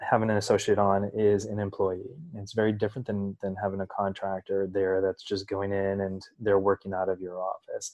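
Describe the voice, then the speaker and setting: In a normal speaking voice, a man with a fairly low pitch talks at a moderate pace over a quiet background. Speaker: podcast host. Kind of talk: interview.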